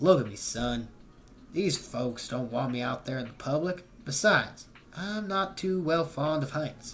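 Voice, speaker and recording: A man puts on a gruff character voice, pitched fairly high. He speaks at a moderate pace over clear background noise. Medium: read story. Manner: gruff, suspicious.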